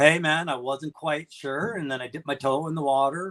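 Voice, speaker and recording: At a moderate pace, a man with a Canadian accent and a fairly high pitch speaks in an unremarkable speaking voice, with a dry, close sound and no echo. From Canada. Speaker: YouTube channel host. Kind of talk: casual chat.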